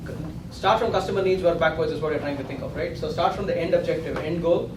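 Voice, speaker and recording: A man speaks with fairly high pitch and fairly even intonation. Noticeable background noise and audible room echo are present. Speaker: coding interview instructor. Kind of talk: lecture. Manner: fast.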